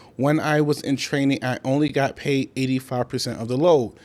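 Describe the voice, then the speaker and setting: An unremarkable speaking voice from a man, pitched fairly high and moving at a moderate pace. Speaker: rookie fuel hauler and trucking vlogger. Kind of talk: casual vlog tutorial. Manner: casual and conversational.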